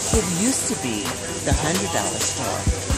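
Dry sound with no echo, set against loud music in the background. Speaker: vlogger shopping. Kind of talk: casual vlog chat. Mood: playful, joking. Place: shop. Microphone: phone near.

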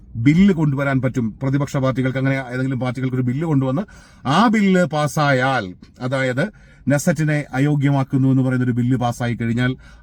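A man's medium-pitched voice, a normal speaking voice. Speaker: news commentator. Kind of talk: news commentary monologue.

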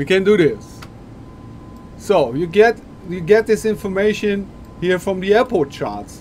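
With light noise in the background, a man speaks fairly slowly at a high pitch. He leaves long, frequent pauses. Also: ordinary pitch variation. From Germany. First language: German. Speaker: flight sim streamer. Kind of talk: live-stream tutorial. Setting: live stream. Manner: halting. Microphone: headset.

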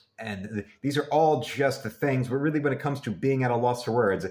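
A somewhat breathy male voice at a fairly quick pace, with ordinary pitch variation. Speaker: fan vlogger. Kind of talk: casual vlog chat. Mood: earnest, admiring tribute. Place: home room. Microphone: webcam.

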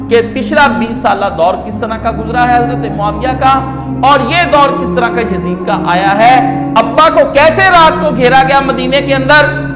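A man talks at a fairly slow pace. Clear music can be heard in the background. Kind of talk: religious lecture. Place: home room. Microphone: lapel.

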